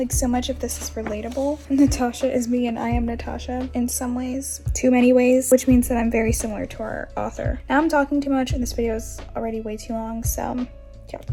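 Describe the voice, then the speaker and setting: Music in the background behind a woman's fairly quick pace. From Florida, US. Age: 20s. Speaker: book vlogger. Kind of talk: casual vlog. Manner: animated.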